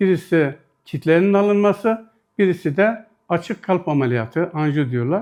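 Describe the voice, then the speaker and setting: A man's high-pitched voice with lively intonation, very even loudness and a moderate pace. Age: 60s. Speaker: retired patient. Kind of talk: news interview testimony.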